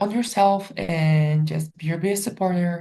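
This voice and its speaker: Her voice is fairly low, dark and mellow, and somewhat breathy. The woman's pitch varies in an ordinary way. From Poland, small village. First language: Polish. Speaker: professional volleyball player. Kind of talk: interview. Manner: many fillers, casual.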